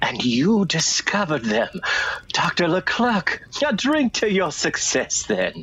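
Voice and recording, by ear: A man puts on a character voice with big pitch swings, sitting fairly high with a fairly bright tone and a slightly husky edge. He speaks at a slow pace.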